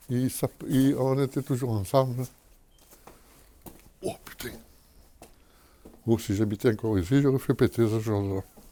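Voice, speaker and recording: A man with a southern French accent speaks at a moderate pace and a medium pitch, with a dark, mellow tone, ordinary pitch variation, and long, frequent pauses. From Menton, southern France. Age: 80s+. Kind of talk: interview answer. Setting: outdoors. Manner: casual, colourful.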